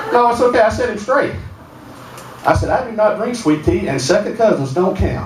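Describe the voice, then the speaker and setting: A man talks at a fairly quick pace in a high pitch, with very wide pitch swings and long, frequent pauses. Noticeable background noise and audible room echo fill the recording. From north Alabama, Sand Mountain. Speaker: comedian. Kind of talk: stand-up. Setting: stage with audience.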